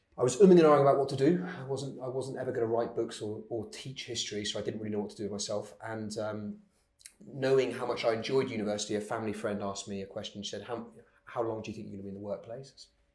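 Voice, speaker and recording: A man's medium-pitched voice at a very fast pace, with audible room echo. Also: ordinary pitch variation, big swings in loudness. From Cornwall, England. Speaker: entrepreneur. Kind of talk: interview. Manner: hesitant with many ums and repeats.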